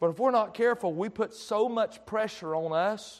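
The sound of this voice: A man with a high voice talks at a fairly slow pace.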